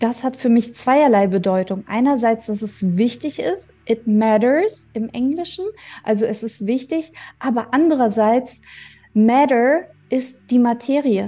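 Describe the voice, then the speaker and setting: A woman's high-pitched voice with a dark, mellow tone, fairly slow in pace and ordinary in pitch variation. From Germany. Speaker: podcast host. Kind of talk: personal monologue.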